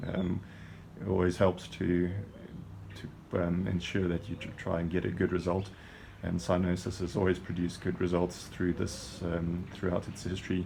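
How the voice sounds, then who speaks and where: This man's voice is very deep and low in pitch, with a dark, mellow tone, a somewhat breathy quality, a monotone, flat intonation and a moderate pace. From South Africa, Johannesburg. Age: 40s. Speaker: adventure racer, team navigator. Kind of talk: self-introduction video.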